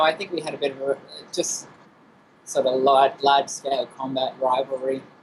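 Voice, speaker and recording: A man with an Australian accent, over noticeable background noise. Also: big swings in loudness. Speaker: game producer. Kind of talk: interview.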